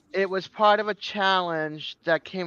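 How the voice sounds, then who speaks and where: A woman's plain, everyday voice, at a fairly slow pace with fairly even intonation. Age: 50s. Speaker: fellow YouTuber joining a livestream. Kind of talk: casual chat.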